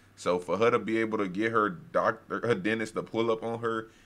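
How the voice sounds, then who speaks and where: Delivered at a moderate pace, the voice has a bright, sharp tone. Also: man. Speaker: reaction content creator. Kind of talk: casual reaction commentary. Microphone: headset.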